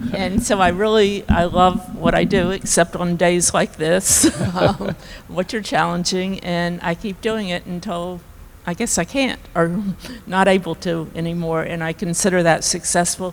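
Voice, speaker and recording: Noticeable background noise sits behind a woman speaking fairly slowly, with a fairly low pitch and fairly even intonation. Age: 70s. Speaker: panelist, business owner. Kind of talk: panel discussion.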